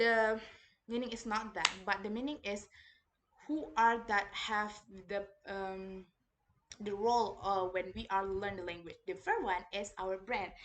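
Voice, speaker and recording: Speaking with an Indonesian accent, a woman moves at a fairly slow pace with long, frequent pauses, a medium pitch and fairly even intonation. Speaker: university student. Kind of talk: reading report presentation. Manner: halting, many fillers.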